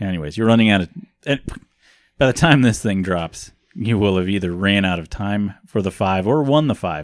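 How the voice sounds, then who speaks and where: Against a quiet background, a man in a normal speaking voice talks at a moderate pace with lively intonation. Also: fairly low pitch for a man. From US Midwest. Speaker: podcast host. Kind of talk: casual chat.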